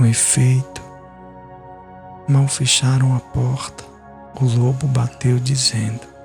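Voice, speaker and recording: Over music in the background, a man speaks at a very slow pace with fairly even intonation and long, frequent pauses. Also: medium pitch for a man, very even loudness. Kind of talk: sleep story.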